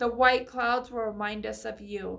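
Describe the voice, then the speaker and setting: Put-on character voice from a woman, moderately paced and fairly high-pitched. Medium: read story. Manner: dreamy, soft.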